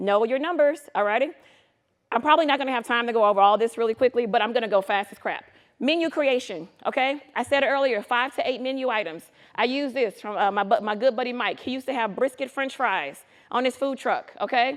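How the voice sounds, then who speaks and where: A woman's animated, high-pitched voice at a fairly quick pace, with ordinary pitch variation, over a quiet background. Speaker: food truck business consultant. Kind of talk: conference presentation. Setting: stage with live audience. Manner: fast; animated, casual and interactive.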